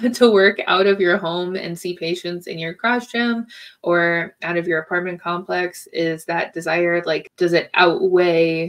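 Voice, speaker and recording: Before a quiet background, a woman with an unremarkable speaking voice talks at a fairly slow pace in a fairly low pitch with fairly even intonation. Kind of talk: casual advice talk to camera. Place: home room.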